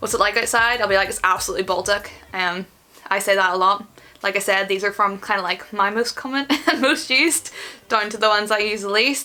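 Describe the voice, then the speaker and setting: A woman speaks fairly quickly with a Northern Irish accent. Her voice sits at medium pitch with ordinary variation. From Northern Ireland. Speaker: van-life vlogger and musician. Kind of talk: casual talk to camera. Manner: upbeat, jokey.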